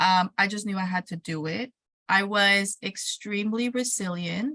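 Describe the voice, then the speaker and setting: This woman's tone is bright and sharp, with ordinary pitch variation. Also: dry, close sound with no echo. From Mexico, raised there until 12, then California. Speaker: educator and entrepreneur. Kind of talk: interview. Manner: animated.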